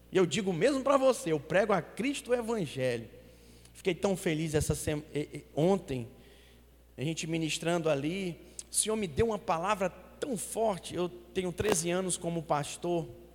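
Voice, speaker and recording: A high-pitched male voice with lively intonation and long, frequent pauses. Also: moderate pace. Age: 40s. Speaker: pastor. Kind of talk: sermon. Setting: church with congregation. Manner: animated.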